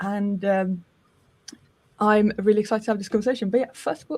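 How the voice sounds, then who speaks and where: Her voice is somewhat breathy as the woman speaks. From Sweden. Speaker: podcast host. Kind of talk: live stream interview. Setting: live stream.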